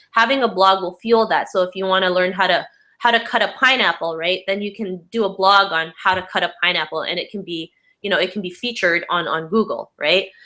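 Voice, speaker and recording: A woman talks at a fairly quick pace with ordinary pitch variation. Her tone is bright and sharp. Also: medium pitch for a woman. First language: not English. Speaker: blogger and online marketing teacher. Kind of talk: webinar presentation.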